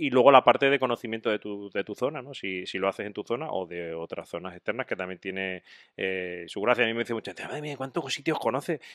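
A man's fairly quick delivery with hardly any pauses, lively intonation and big swings in loudness, in a dry, echo-free recording against a quiet background. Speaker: podcast co-host. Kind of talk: casual chat. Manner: animated. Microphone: studio mic.

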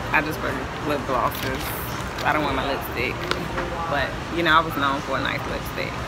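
Amid loud background noise, a man speaks at a moderate pace. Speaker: vlogger. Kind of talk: casual vlog chat. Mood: relaxed, joking. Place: cafe. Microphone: phone near.

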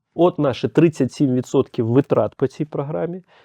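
A man's medium-pitched voice shows ordinary pitch variation, delivered in a normal speaking voice. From Ukraine, Kyiv. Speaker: head of a homeowners' association. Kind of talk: podcast interview. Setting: studio.

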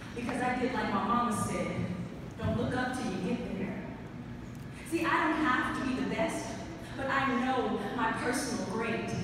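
A woman at a fairly slow pace, in strong room echo with noticeable background noise. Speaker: spoken word poet. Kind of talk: spoken word poetry performance. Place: hall.

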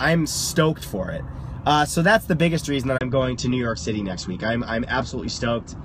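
A man's lively intonation comes across with light background noise behind him. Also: dry sound with no echo. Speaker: livestreamer. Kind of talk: casual vlog chat. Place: car. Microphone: phone near.

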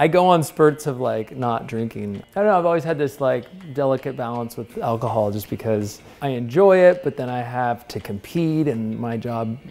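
Faint music runs underneath as a man talks at a moderate pace. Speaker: interviewee. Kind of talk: interview answer. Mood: relaxed, amused. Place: kitchen. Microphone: lapel.

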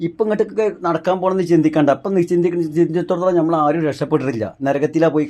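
Using ordinary pitch variation, a man talks in a high voice. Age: 40s. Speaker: vlogger, coconut climber. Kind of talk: emotional monologue.

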